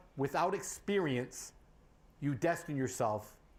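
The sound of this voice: A man speaks at a fairly slow pace. His pitch is fairly high.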